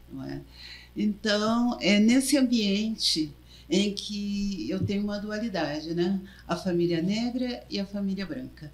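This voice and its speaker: A woman speaks at a very slow pace in a somewhat breathy voice. Her pitch is medium, with ordinary variation. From southern Brazil, Porto Alegre. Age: 70s. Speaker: journalist, former union president. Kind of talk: interview. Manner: halting.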